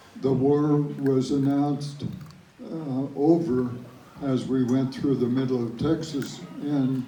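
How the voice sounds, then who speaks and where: Over noticeable background noise, a man speaks at a very slow pace. His pitch is fairly high and his intonation flat and monotone. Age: 80s+. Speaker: World War Two veteran. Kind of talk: interview answer.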